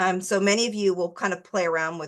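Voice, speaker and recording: A woman with a medium pitch speaks in a normal speaking voice. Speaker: art instructor. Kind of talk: tutorial.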